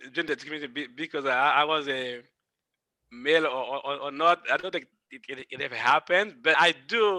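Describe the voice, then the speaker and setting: A man's bright, sharp, fairly high voice with a French-Caribbean accent, at a moderate pace with ordinary pitch variation, in a dry, close sound with no echo. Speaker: engineer. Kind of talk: panel discussion. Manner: halting, repeats words.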